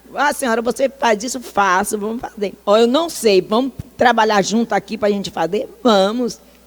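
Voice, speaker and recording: Amid noticeable background noise, a woman speaks at a moderate pace with a fairly high pitch and an animated tone. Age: 60s. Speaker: social worker. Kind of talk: talk.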